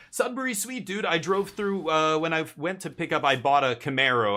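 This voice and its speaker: Over a silent background in a very clean recording, a man speaks at a fairly quick pace with a bright, sharp tone and very wide pitch swings. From Canada, Winnipeg. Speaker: video game streamer. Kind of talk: casual live stream chat. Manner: hesitant, with fillers and repeated words.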